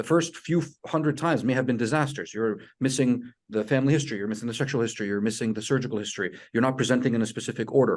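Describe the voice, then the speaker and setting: Against a quiet background, a man talks very fast with a medium pitch and ordinary pitch variation. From outside US, international medical graduate. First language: not English. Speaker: residency program director. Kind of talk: webinar advice talk. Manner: relaxed, conversational.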